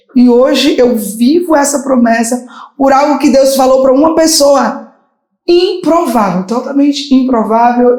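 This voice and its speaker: A woman's high, dark and mellow voice at a fairly slow pace, with ordinary pitch variation, very even loudness and audible room echo. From Brazil, Bahia. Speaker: gospel singer. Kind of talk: interview testimony.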